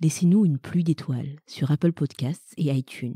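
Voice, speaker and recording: At a moderate pace, a woman with a very deep, low pitch and a dark, mellow tone speaks somewhat breathily with ordinary pitch variation, in a dry, close sound with no echo. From Madagascar. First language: Malagasy (speaking French). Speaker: podcast co-host. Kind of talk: scripted announcement.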